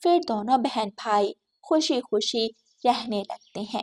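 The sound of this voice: In a dry, close sound with no echo, a woman speaks slowly at a fairly high pitch, her tone slightly mellow and her intonation lively.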